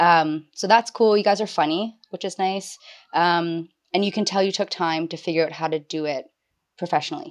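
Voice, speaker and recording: The woman has a normal speaking voice at a fairly low pitch. She speaks at a moderate pace with fairly even intonation against a quiet background. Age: 20s. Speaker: stay-at-home mother and human resources worker. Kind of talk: casual chat.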